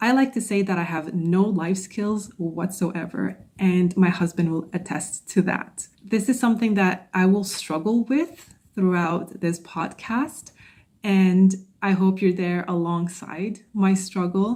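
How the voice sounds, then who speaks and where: At a fairly slow pace, a woman speaks at a medium pitch in a dark, mellow, somewhat breathy tone with ordinary pitch variation. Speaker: podcast host and social anxiety coach. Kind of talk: solo podcast monologue. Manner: stuttering, stumbling at times.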